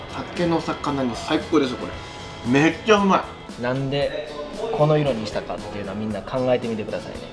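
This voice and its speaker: Clear music plays in the background as a man with a fairly high pitch speaks fairly quickly with lively intonation. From Kochi, Japan. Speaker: voice actor. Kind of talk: casual outing video talk. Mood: cheerful, relaxed. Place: cafe.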